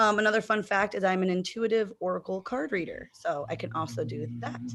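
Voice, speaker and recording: A loud woman in an American accent at a fairly quick pace, her medium pitch making very wide swings over noticeable background noise. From Texas, El Paso. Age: 40s. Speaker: game contestant and teacher. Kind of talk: self-introduction.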